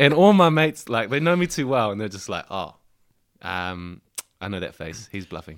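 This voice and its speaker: At a moderate pace, a man with a New Zealand accent speaks in a fairly low pitch, with very wide pitch swings and big swings in loudness. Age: 20s. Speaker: rugby player. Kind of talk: casual chat. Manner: animated.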